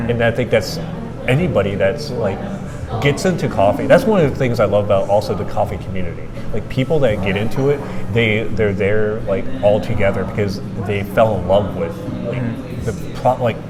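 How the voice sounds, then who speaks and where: Someone talks at a fairly quick pace with ordinary pitch variation over noticeable background noise. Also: man. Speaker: coffee enthusiast, host. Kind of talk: casual conversation.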